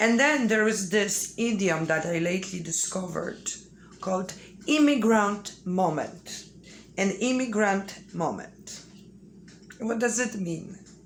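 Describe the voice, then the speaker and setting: A woman with a Polish accent speaks at a medium pitch and a fairly slow pace over noticeable background noise. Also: ordinary pitch variation. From Poland. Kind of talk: casual talk to camera.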